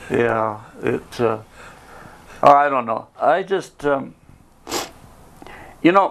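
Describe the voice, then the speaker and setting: This man has a fairly high voice and lively intonation, speaking at a very slow pace with long, frequent pauses. Noticeable background noise runs underneath. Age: 80s+. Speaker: service club founding member. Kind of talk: casual interview chat.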